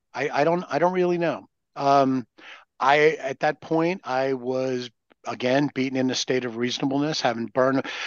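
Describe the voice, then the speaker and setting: At a moderate pace, a man uses a plain, everyday voice with medium pitch and fairly even intonation. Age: 60s. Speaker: recovering alcoholic sharing experience. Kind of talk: casual chat.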